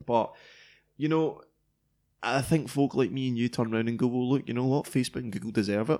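Talking at a very fast pace yet with long, frequent pauses, a man with a Scottish accent has a dark, mellow tone and fairly even intonation. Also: medium pitch for a man, very clean recording, silent background. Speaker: tech podcast co-host. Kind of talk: casual chat.

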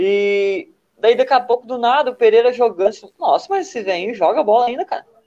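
At a fairly quick pace, a man with an extremely high pitch and a dark, mellow tone speaks with lively intonation. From southern Brazil, Rio Grande do Sul. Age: 20s. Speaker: futsal player. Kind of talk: casual interview chat.

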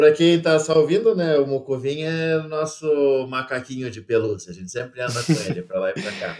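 A man's plain, everyday voice, fairly high in pitch, with lively intonation at a moderate pace. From Brazil. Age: 30s. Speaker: travel content creator. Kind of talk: casual interview.

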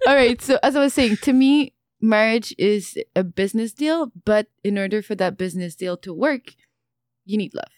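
On a very clean recording with a silent background, a woman talks at a moderate pace. She has an ordinary speaking voice with a fairly high pitch. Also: lively intonation. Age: 20s. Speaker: esthetician and entrepreneur. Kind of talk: casual chat.

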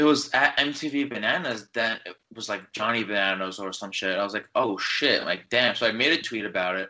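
An unremarkable speaking voice with an American accent, fairly quick pace, ordinary pitch variation and hardly any pauses. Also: man, medium pitch for a man. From New York. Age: 20s. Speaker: college student and fan account runner. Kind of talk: casual chat.

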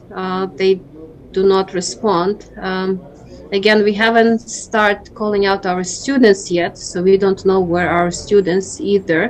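Over noticeable background noise, a woman speaks with a Ukrainian accent at a medium pitch. Her pace is fairly slow and her intonation fairly even. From Ukraine. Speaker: school principal. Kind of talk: interview.

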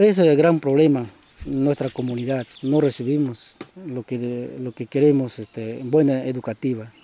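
Noticeable background noise surrounds a man speaking at a fairly slow pace. His medium pitch has ordinary variation, and the sound is dry and close with no echo. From Peruvian Amazon, Shipibo community. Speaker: former community chief. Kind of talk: interview testimony.

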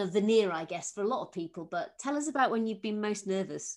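A woman with a fairly high pitch talks at a fairly quick pace with lively intonation, in a Yorkshire accent. The background is quiet. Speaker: podcast host, former civil servant. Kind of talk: interview.

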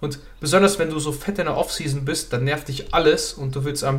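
A man's voice carries audible room echo. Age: 20s. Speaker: fitness podcast co-host. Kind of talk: casual chat.

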